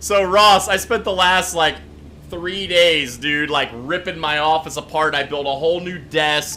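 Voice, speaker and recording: A loud man's voice, bright and sharp, fairly high in pitch and at a fairly slow pace. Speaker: gaming livestreamer. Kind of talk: live gameplay stream chat. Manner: animated.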